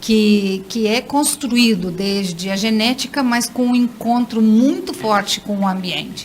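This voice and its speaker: Noticeable background noise sits under a woman speaking at a fairly high pitch with fairly even intonation. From Brazil. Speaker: neuroscience and education specialist. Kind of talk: radio interview.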